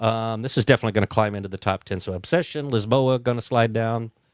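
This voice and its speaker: The intonation stays fairly even, and the sound is dry and close with no echo. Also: man. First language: German (until about age three). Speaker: board game podcast host. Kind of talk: casual chat.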